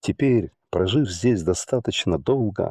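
At a very slow pace, a man with a medium pitch speaks with very wide pitch swings, the sound dry and close with no echo. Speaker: audiobook narrator. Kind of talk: audiobook reading of a letter, literary narration. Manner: measured, even, read-aloud narration.

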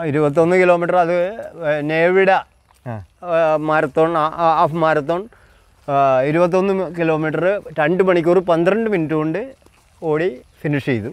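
A man speaks with high pitch and fairly even intonation. The sound is dry with no echo, over a quiet background. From Thrissur, Kerala. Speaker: amateur triathlete. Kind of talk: interview answer. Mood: proud, recounting achievements. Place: forest. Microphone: lapel.

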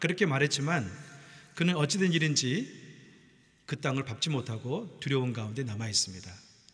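Against a quiet background, a man speaks at a very fast pace. His tone is bright and sharp, with ordinary pitch variation. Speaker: pastor. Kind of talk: sermon. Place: church. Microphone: podium.

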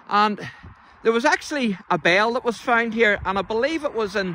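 A man speaks in a raised, projected voice at a moderate pace. The sound is dry with no echo, over light background noise. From Northern Ireland. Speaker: local church history presenter. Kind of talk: casual talk to camera. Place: open country. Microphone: phone near.

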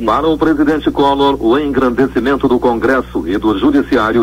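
A man talks at a moderate pace. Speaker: radio news announcer. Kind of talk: radio news bulletin read. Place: studio.

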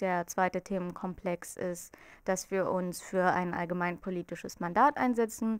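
Against a quiet background with a dry sound and no echo, a woman speaks at a fairly slow pace with ordinary pitch variation and big swings in loudness. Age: 20s. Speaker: student group representative. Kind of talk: campaign interview statement. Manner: hesitant with filler sounds. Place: office. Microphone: handheld.

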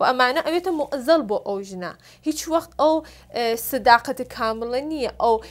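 With lively intonation, a woman speaks high-pitched at a fairly slow pace. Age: 30s. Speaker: film and stage actress; stage actress. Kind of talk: talk show interview. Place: studio.

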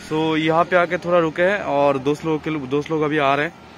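Over faint background noise, a man talks at a fairly high pitch with little pitch movement. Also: fairly quick pace.

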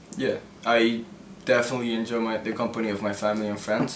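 Through noticeable background noise, a man talks at a fairly quick pace in a flat monotone. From Mexico City. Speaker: YouTuber. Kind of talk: casual Q&A. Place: home room.

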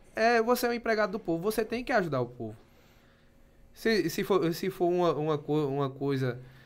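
The man's intonation is lively. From Pernambuco, Brazil. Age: 20s. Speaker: municipal finance secretary and businessman; podcast guest. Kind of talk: casual interview. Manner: halting, many repetitions. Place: studio. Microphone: studio mic.

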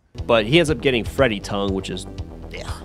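A man's fairly low-pitched voice over background music. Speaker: movie reviewer. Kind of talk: casual movie review narration. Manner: casual, profane.

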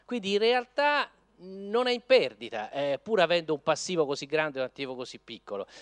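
Over a quiet background, a man talks in a high voice at a fairly quick pace. His pitch swings very widely. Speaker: law professor. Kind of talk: conference talk. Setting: lecture hall with audience. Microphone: podium.

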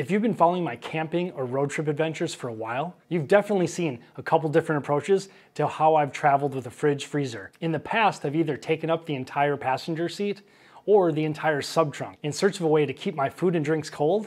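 Speaking at a very fast pace, a man uses ordinary pitch variation. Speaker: travel vlogger. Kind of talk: sponsor read. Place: home room. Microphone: lapel.

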